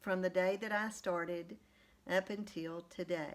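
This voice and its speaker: A woman's medium-pitched voice at a very slow pace. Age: 60s. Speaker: weight loss vlogger. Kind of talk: casual vlog monologue. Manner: conversational with fillers.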